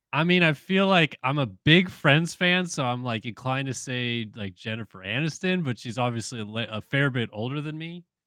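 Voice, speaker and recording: Bright, sharp tone with an American accent, lively intonation and a moderate pace, hardly any pauses, dry, close sound with no echo, and a quiet background. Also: man, medium pitch for a man. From US West Coast, San Diego. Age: 30s. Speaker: motocross journalist. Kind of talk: casual chat.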